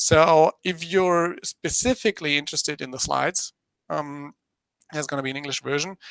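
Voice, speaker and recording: Moderate pace and ordinary pitch variation in a German accent, with a dry, close sound and no echo. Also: man, fairly high pitch for a man. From Germany. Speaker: business presenter. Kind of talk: presentation dry run. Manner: halting, many fillers.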